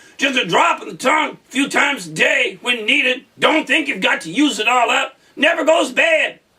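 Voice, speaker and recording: Using a put-on character voice at an extremely high pitch, a man talks at a moderate pace with hardly any pauses. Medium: read story. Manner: showy, cheery salesman patter.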